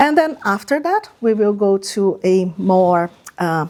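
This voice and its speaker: A woman with a Portuguese accent and lively intonation. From Brazil. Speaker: project manager and lecturer. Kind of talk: lecture.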